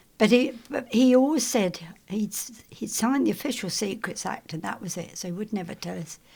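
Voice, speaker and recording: A woman speaks at a fairly quick pace in a dark, mellow tone with vocal fry. Her intonation is lively and her loudness swings widely. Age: 80s+. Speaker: retired broadcasting staff member. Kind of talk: oral history interview. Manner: halting.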